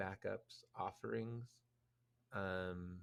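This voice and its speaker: Very slow in pace, a man speaks at a fairly low pitch with ordinary pitch variation. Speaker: podcast co-host. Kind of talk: casual chat.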